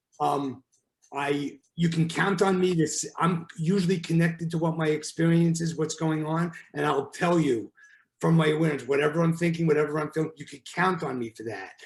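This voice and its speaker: Fairly quick delivery with a New York accent and a fairly even intonation. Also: man, fairly high pitch for a man. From New York, Brooklyn. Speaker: relationship therapist. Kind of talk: podcast interview. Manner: direct, forthright.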